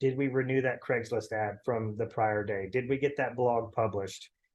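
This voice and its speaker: His pitch shows ordinary variation. Behind this man, the background is quiet. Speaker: real estate coach. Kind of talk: training call lecture. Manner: fast; casual, filler-heavy.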